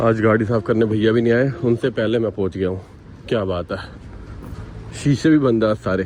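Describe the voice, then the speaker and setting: A man speaks with ordinary pitch variation and long, frequent pauses. Noticeable background noise is present. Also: medium pitch for a man, moderate pace. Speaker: vlogger. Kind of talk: casual vlog chat. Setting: in a car. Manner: loud; playful, joking.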